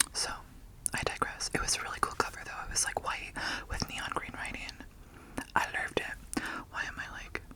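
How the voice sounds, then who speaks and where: A woman whispers at a fairly quick pace with long, frequent pauses. Noticeable background noise is present. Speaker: ASMR creator. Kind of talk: ASMR book haul talk to camera. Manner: whispered.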